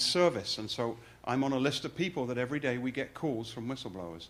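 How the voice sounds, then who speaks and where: On a very clean recording with a silent background, a man talks very fast at a medium pitch. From England. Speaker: fraud investigator. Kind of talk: presentation.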